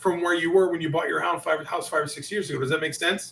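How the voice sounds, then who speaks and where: A man talks at a fairly quick pace, his high-pitched voice bright and sharp in tone. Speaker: sales coach. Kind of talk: interview with role-play of sales objections. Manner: fast; animated.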